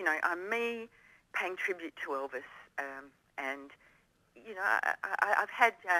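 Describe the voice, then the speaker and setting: In an Australian accent, a woman speaks at a moderate pace with lively intonation and a bright, sharp tone. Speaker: female Elvis tribute performer. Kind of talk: radio interview.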